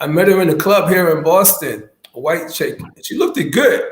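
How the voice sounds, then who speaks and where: Over audible room echo, a man with a high pitch speaks at a fairly quick pace. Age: 60s. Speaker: YouTube talk show host. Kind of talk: casual chat. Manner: halting.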